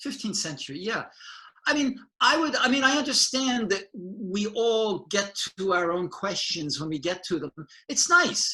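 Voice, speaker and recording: High-pitched for a man, his raised, projected voice has a bright, sharp tone, very wide pitch swings and a moderate pace. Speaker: painter and art educator. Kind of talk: casual conversation. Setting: video call.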